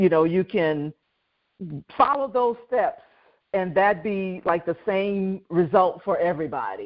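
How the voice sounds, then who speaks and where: At a fairly slow pace, a woman uses a normal speaking voice with a medium pitch. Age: 60s. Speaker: podcast host. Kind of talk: podcast interview. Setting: podcast recording.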